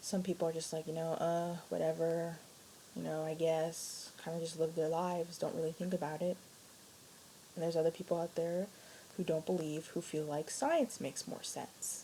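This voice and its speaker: A woman's quiet whispering. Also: moderate pace. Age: young. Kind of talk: casual talk to camera. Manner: quiet, near whisper.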